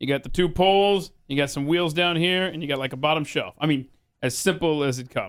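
Very clean recording with a silent background, a man with an American accent, fairly high pitch and ordinary pitch variation. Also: fairly quick pace. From Atlanta, US South. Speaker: podcast host and talk radio personality. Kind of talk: casual interview chat.

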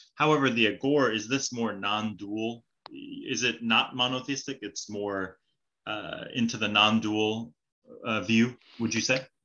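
In an American accent, a man speaks in a plain, everyday voice at medium pitch with fairly even intonation. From California. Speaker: podcast host. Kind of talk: interview.

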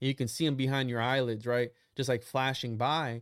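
A man's plain, everyday voice at medium pitch and a fairly quick pace, in a very clean recording with a silent background. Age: 20s. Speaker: occult researcher guest. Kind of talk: casual chat.

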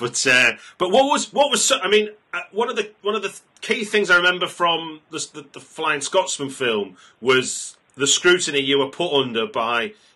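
Bright and sharp in tone, a man speaks at a moderate pace with very wide pitch swings. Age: 40s. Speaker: film podcast host. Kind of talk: interview. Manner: halting.

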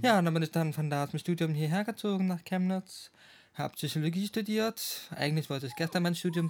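Talking at a fairly quick pace, a man with a high-pitched voice keeps his intonation fairly even. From Schwerin, Mecklenburg-Western Pomerania, Germany. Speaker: psychology graduate. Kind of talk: casual chat.

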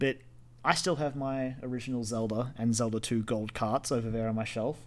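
An ordinary speaking voice, a man at medium pitch and a moderate pace, fairly even in intonation, on a very clean recording with a silent background. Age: 20s. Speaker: gaming podcast co-host. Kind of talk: casual chat.

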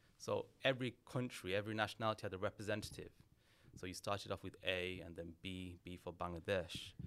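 A man speaks at a fairly quick pace with a very deep, low pitch. His intonation is fairly even, but his loudness swings widely. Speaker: criminology lecturer and author. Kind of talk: casual interview.

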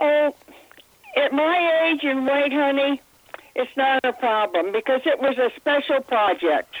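A woman speaks at a fairly slow pace in a high pitch with ordinary pitch variation and very even loudness. Noticeable background noise is present. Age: 80s+. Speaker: psychic and hypnotherapist. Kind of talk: interview.

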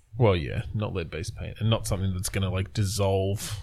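A man is speaking. His voice is somewhat breathy. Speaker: podcast host. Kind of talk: casual chat. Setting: remote recording.

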